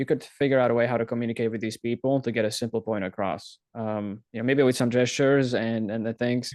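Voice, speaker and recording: A man with a Slovak accent talks at a very fast pace with hardly any pauses, at a medium pitch and with fairly even intonation, in a dry, close sound with no echo. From Slovakia, near Ukrainian border. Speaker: self-taught frontend developer. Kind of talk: casual interview chat.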